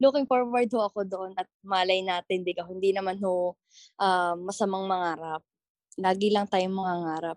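Speech comes at a moderate pace with fairly even intonation. The sound is dry and close, with no echo. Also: woman, medium pitch for a woman. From Batangas, Philippines. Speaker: TikTok content creator. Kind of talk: interview.

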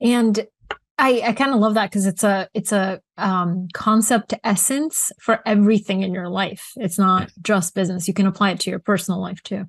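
A woman speaks at a moderate pace with a medium pitch and ordinary pitch variation, sounding somewhat breathy. The sound is dry and close with no echo, over a quiet background. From Bulgaria. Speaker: interviewer. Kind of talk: interview conversation.

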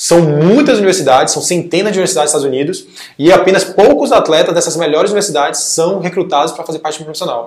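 A man talks very fast in a fairly high pitch, his pitch varying in an ordinary way. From Brazil, Salvador, Bahia. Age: 20s. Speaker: former student-athlete. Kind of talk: casual interview.

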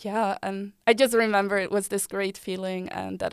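A woman with a Dutch accent at a fairly quick pace. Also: very clean recording, silent background. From Netherlands (Delft). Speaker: former student board member. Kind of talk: casual chat.

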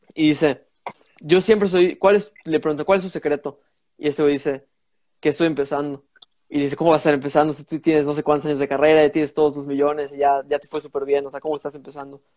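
Fairly high in pitch, a man races along at a very fast pace, his intonation fairly even and his loudness swinging widely. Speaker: podcast host. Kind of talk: casual chat.

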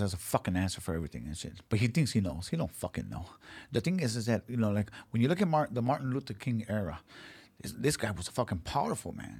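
Vocal fry runs through a man's speech at a very fast pace with very wide pitch swings. The recording is very clean, with a silent background. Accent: American. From South Central Los Angeles. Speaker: MMA and boxing figure. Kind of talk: casual chat.

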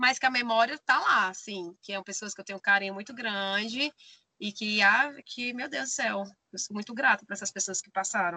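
Heard in a dry, close sound with no echo, a woman speaks at a moderate pace, her loudness swinging widely. Her fairly high pitch has ordinary variation and a bright, sharp tone. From Brazil, Maranhão (Bacabal). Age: 30s. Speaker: van-life traveler and theater artist. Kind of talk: casual interview chat.

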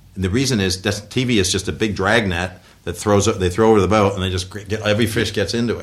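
Speaking at a very fast pace with hardly any pauses, a man with an American accent has a fairly low, somewhat breathy voice and fairly even intonation. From US, western New York (Buffalo area). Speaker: former tech executive and business advisor. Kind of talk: interview. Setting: office.

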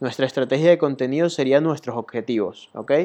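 In an ordinary speaking voice, a man talks at a fairly high pitch with ordinary pitch variation. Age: 20s. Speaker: podcast host, web designer. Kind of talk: solo monologue podcast. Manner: casual, many fillers (eh, ¿ok?, ¿vale?).

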